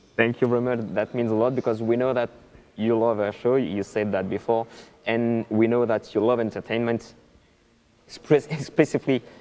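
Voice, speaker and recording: Medium-pitched man with a dark, mellow tone, fairly even intonation and a moderate pace. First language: not English. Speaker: airshow livestream co-host. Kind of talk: live interview hosting.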